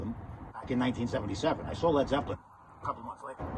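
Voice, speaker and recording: Over noticeable background noise, a man speaks in a relaxed tone with ordinary pitch variation. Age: 60s. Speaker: musician. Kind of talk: casual vlog talk. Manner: halting, relaxed.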